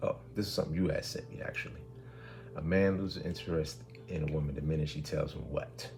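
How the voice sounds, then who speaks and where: A man with a very deep, low pitch races along at a very fast pace with lively intonation, amid noticeable background noise and audible room echo. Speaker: podcast co-host. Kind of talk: casual chat. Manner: loud.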